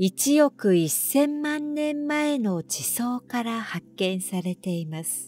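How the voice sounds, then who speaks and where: A woman's calm, fairly high voice at a very slow pace, with very wide pitch swings and music in the background. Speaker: announcer. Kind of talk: sleep trivia narration. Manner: calm, slow.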